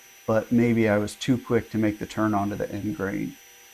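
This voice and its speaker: A man talks at a fairly quick pace with fairly even intonation. Noticeable background noise runs under his voice. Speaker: woodworking hobbyist. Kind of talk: narrated build tutorial. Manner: casual.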